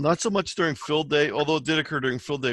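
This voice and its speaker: The speaker is a man. He talks very fast. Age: 60s. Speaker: amateur radio presenter. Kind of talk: presentation Q&A.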